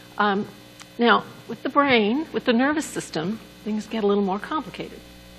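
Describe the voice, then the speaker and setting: Over noticeable background noise, a woman speaks at a moderate pace in a fairly high pitch with lively intonation. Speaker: neuroanatomy lecturer. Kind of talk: lecture. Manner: soft-spoken, doesn't project.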